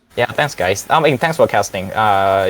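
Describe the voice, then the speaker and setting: The speaker has a non-native accent and talks at a fairly slow pace with ordinary pitch variation. The recording is very clean, with a silent background. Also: man. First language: not English. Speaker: amateur esports player. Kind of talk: post-match interview. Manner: halting, hesitant.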